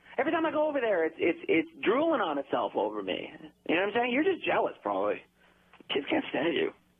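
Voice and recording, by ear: A man's put-on character voice, high-pitched and fast, with very wide pitch swings and a slightly husky edge.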